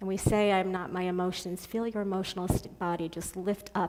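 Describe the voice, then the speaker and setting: A plain, everyday voice speaking at a moderate pace. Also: woman. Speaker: guest speaker. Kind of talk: guided meditation.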